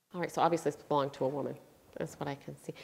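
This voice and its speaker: Vocal fry runs through this woman's voice. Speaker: psychic medium. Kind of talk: psychic reading. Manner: fast.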